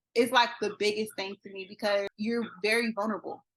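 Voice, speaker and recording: In a normal speaking voice with an American accent, the speaker goes at a moderate pace. The background is quiet. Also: woman. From Florida. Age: 20s. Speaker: army veteran. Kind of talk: interview answer.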